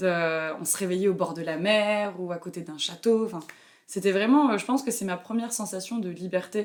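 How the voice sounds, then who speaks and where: A woman talks at a moderate pace and medium pitch. Her loudness swings a lot while her pitch varies in an ordinary way. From France, Burgundy. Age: 20s. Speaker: traveler, backpacker. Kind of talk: interview. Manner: hesitant, many fillers.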